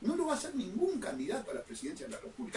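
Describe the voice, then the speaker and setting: Over noticeable background noise, a man with a Uruguayan accent speaks at an extremely high pitch. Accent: Uruguayan Rioplatense Spanish. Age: 60s. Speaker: lawyer and political candidate hosting a radio show. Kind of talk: political radio monologue. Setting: radio broadcast streamed on social media. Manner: impassioned, emphatic.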